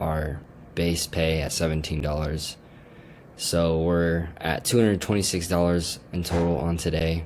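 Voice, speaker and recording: With an American accent, a man talks fairly slowly in a very deep, low, monotone voice, and the room echo is audible. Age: 20s. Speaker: vlogger. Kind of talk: casual vlog. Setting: at home, screen share. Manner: casual, slangy.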